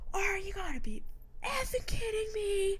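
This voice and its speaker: In a put-on character voice, the speaker shouts at an extremely high pitch and a moderate pace over clear background noise. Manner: fake yelling, mock outrage.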